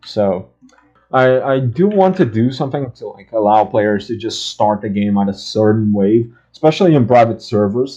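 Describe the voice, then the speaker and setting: Here a man talks in a dark, mellow tone. His pitch is medium, with ordinary variation. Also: moderate pace. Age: young. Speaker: game developer and gaming youtuber. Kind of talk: casual gameplay commentary. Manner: stuttering; halting.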